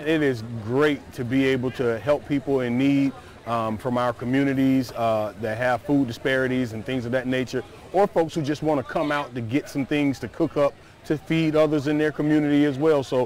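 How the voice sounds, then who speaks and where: With fairly even intonation, a man talks at a moderate pace in a dry sound with no echo and light background noise. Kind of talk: interview answer. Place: street. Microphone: lapel.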